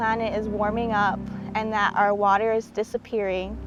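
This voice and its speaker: Music plays in the background as a woman speaks with a fairly high pitch. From Six Nations reserve, Ontario, Canada. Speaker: water activist. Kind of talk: documentary interview. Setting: outdoors by a river.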